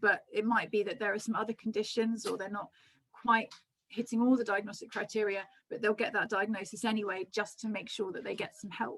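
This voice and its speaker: A woman's fairly high voice, fairly quick and monotone with flat intonation. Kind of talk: lecture. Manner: fast; hesitant, many ums.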